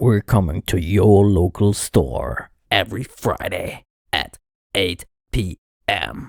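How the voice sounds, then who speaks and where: A man puts on a raspy character voice pitched fairly low, with ordinary pitch variation. He goes at a fairly slow pace, leaving long, frequent pauses. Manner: deep, gravelly announcer-style delivery.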